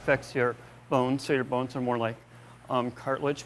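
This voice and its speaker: In an American accent, a man speaks at a moderate pace and medium pitch with monotone, flat intonation. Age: 30s. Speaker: interviewee with Noonan syndrome, runner. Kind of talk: interview. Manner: halting.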